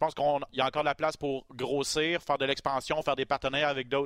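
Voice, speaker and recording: Very fast and at a medium pitch, a man speaks with a dry, close sound and no echo. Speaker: MMA podcast host. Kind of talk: casual chat.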